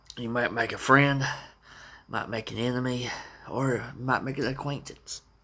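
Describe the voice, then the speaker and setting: A man at a medium pitch speaks at a moderate pace in a monotone, flat intonation, with long, frequent pauses and noticeable background noise. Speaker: prepping vlogger. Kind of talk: casual monologue. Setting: at home, family asleep nearby. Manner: halting.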